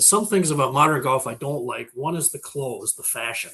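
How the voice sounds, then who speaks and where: A man's bright, sharp tone with an Upper Midwest accent, at a moderate pace. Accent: Upper Midwest American. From Minnesota. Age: 60s. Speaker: farm equipment market data expert. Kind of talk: casual interview chat.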